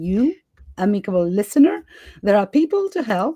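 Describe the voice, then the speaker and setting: With a non-native accent, a woman speaks at a medium pitch in a dark, mellow tone on a very clean recording with a silent background. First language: not English. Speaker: podcast host. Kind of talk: interview conversation.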